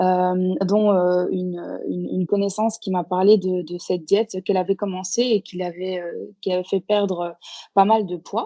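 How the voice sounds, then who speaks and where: A woman delivers monotone, flat intonation at a medium pitch and a moderate pace. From Belgium / Portuguese background. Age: 30s. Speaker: guest, Instagram food account creator. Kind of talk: podcast interview. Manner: hesitant, many fillers.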